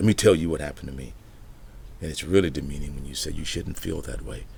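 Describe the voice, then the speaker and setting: Audible room echo surrounds the speaker. A man talks at a very fast pace. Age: 60s. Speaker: pastor. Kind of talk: motivational talk.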